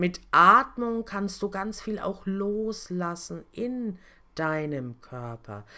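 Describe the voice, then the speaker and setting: In a very clean recording with a silent background, a woman speaks with lively intonation and a bright, sharp tone. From Lower Franconia, Germany (Kitzingen). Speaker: podcast host and personal coach. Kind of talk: motivational talk. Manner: casual, conversational.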